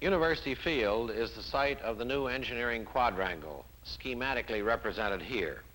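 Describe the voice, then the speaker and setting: Speaking at a fairly quick pace, a man with a medium pitch shows lively intonation, vocal fry and a bright, sharp tone. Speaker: university administrator. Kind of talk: guided presentation.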